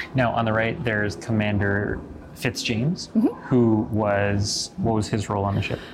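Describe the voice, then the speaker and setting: Over noticeable background noise, a man with fairly low pitch and ordinary pitch variation talks at a moderate pace. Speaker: podcast host. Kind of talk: casual chat. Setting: home office. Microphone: sounds different from usual studio recording.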